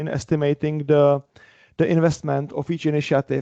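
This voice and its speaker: Monotone, flat delivery in a dark, mellow tone at a moderate pace, dry and close with no echo over a quiet background. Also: man. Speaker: engineering leader at a bank, meetup speaker. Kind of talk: conference talk. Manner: loud.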